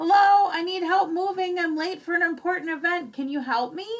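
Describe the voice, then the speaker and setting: This is a put-on character voice with a squeaky sound. It moves at a fairly quick pace. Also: woman, extremely high pitch for a woman. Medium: read story.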